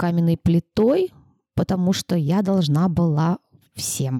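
Recorded dry and close with no echo, a woman speaks fairly slowly in a fairly low, dark and mellow voice with ordinary pitch variation. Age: 30s. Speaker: preschool teacher and author. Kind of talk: casual chat.

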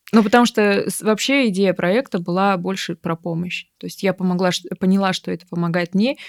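A normal speaking voice at a moderate pace with ordinary pitch variation comes through with a dry, close sound, no echo, and a very clean recording with a silent background. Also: woman, medium pitch for a woman. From Siberia, Irkutsk region (Bratsk). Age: 30s. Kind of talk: therapy consultation.

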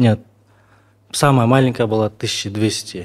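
In a flat monotone, a man talks at a medium pitch. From Kyrgyzstan, Naryn. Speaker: sculptor. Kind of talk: interview.

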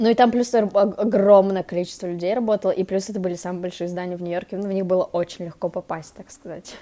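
Talking at a very fast pace with hardly any pauses, a woman has a medium pitch, a dark, mellow tone, fairly even intonation and big swings in loudness. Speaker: podcast co-host. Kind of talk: casual chat.

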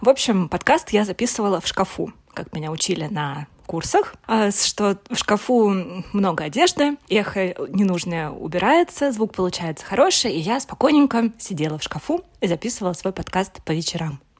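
A woman speaks at a moderate pace with hardly any pauses, her medium pitch swinging very widely over noticeable background noise. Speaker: podcast host. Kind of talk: personal monologue. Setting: recording inside a wardrobe at home. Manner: halting, searching for words.

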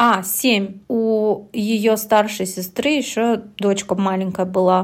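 A woman speaks very slowly at medium pitch, with hardly any pauses. Her loudness is very even and her intonation fairly even. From Russia, Yekaterinburg. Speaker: podcast co-host. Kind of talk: casual chat.

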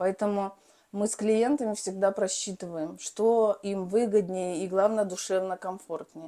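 The speech moves fairly slowly, with fairly even intonation. It is a plain, everyday voice. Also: woman, medium pitch for a woman. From Belarus. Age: 40s. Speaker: real estate agent and developer. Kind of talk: casual interview.

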